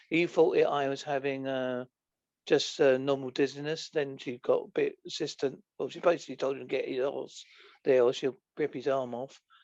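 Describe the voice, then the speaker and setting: A man speaks with an Essex accent. His fairly high voice stays monotone and flat. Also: moderate pace. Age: 50s. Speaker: podcast guest, author. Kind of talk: casual chat. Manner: halting.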